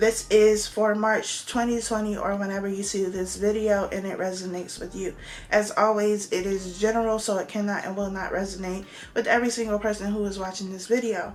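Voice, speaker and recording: A woman's fairly quick, flat, monotone speech at a medium pitch, with noticeable background noise and audible room echo. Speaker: tarot reader. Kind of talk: tarot reading monologue. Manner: casual, conversational.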